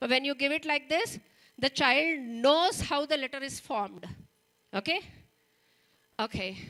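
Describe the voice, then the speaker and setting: In an Indian accent, a woman with a high pitch and a bright, sharp tone uses a raised, projected voice broken by long, frequent pauses. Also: lively intonation, moderate pace. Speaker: teacher trainer. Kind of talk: training workshop lecture. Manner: conversational, checks in with audience.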